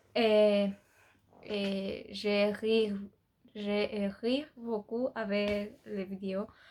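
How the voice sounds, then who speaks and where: Very slowly and with long, frequent pauses, a woman with a Spanish accent speaks at a medium pitch in a monotone, flat intonation. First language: Spanish (speaking French). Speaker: beauty youtuber. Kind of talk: casual vlog chat. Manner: halting, many hesitations.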